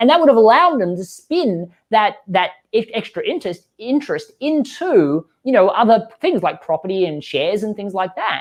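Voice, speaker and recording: In an animated tone with an Australian accent, a man talks at a moderate pace with a high pitch, very wide pitch swings and hardly any pauses. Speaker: growth marketing expert and author. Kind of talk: podcast interview.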